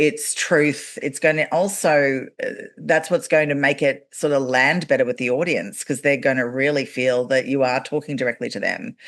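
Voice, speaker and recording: A woman with a very deep, low pitch and ordinary pitch variation talks with hardly any pauses. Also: moderate pace. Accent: Australian. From Australia. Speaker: podcast host and actor. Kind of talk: casual interview chat.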